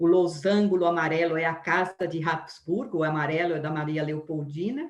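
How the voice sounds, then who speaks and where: Speaking at a fairly slow pace, a woman talks with a Brazilian accent. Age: 60s. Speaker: biography lecturer. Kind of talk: lecture. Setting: live stream. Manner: halting.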